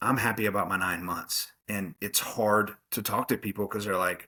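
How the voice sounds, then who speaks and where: A loud man's voice in an American accent, fairly low in pitch, bright and sharp in tone, at a moderate pace. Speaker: college football coach. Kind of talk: interview. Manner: animated.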